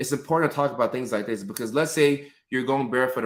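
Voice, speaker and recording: This man has an ordinary speaking voice and talks at a fairly quick pace with fairly even intonation. The recording is very clean, with a silent background. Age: 30s. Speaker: mental health clinician and live stream host. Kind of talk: live stream chat answering viewer comments. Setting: live stream from home.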